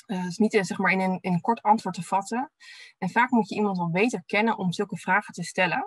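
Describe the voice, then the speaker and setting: Somewhat breathy and at medium pitch, a woman speaks at a fairly quick pace with fairly even intonation, the sound dry with no echo and the background quiet. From Netherlands, Delft; Netherlands. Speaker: physiotherapist and researcher. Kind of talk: webinar presentation. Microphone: webcam.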